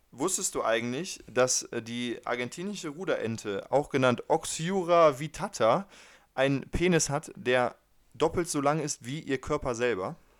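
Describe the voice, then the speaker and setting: An ordinary speaking voice from a man, fairly high-pitched and lively in intonation, at a fairly slow pace in a very clean recording with a silent background. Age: 20s. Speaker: podcast co-host. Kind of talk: casual chat.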